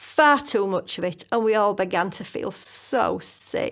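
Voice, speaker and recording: Over a very clean, silent background, a woman with a plain, everyday voice speaks fairly slowly at a fairly high pitch, her intonation lively. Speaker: author. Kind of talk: children's story reading.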